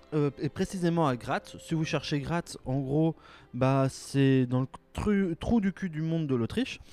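A man with a fairly high pitch at a very slow pace, dry and close with no echo, music in the background. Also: ordinary pitch variation. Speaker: podcast host. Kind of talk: casual solo podcast monologue. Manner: animated; hesitant with many fillers.

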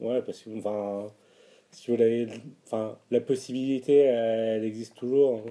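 On a very clean recording with a silent background, a man with a dark, mellow tone speaks at a very slow pace with fairly even intonation. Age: 30s. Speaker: interviewee sharing personal testimony. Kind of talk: personal testimony interview. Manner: hesitant, with frequent fillers and repetitions.

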